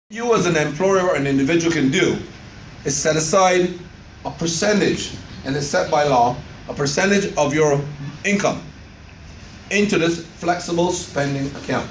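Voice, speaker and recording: Speaking at a moderate pace with long, frequent pauses, a man with a high pitch and ordinary pitch variation is heard over noticeable background noise. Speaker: doctor, insurance plan presenter. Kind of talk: informational presentation to members.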